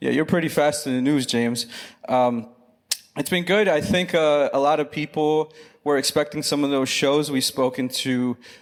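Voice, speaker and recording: A man speaks in an ordinary speaking voice with an American accent, his pitch fairly high and his intonation fairly even. The pace is moderate and the loudness very even. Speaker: research company director. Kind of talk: live panel chat. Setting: stage with audience.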